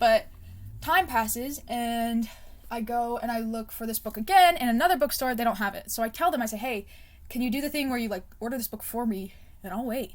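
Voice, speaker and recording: Her voice is fairly high-pitched, quick-paced and shows ordinary pitch variation. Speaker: book vlogger. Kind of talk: casual chat. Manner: rambling, unscripted; customer service voice.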